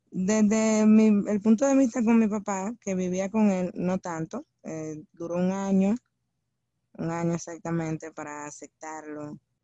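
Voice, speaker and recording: A woman with a Dominican accent speaks at a fairly slow pace in a medium pitch, with ordinary pitch variation and big swings in loudness. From Dominican Republic. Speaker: podcast co-host. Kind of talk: casual chat.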